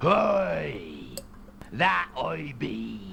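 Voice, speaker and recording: A man puts on a raspy character voice over clear background noise. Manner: playful, exaggerated.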